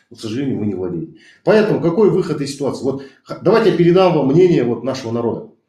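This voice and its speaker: With vocal fry and a dark, mellow tone, a man talks at a very fast pace and fairly high pitch with very wide pitch swings, amid audible room echo. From Kazakhstan. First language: Kazakh (speaking Russian). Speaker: activist. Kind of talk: heated debate. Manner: animated.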